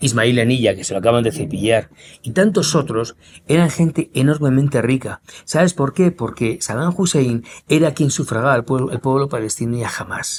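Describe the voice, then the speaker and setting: The tone is animated and the intonation lively. The pace stays moderate. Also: man, medium pitch for a man. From Spain, Madrid. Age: 60s. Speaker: war correspondent journalist. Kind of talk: interview conversation.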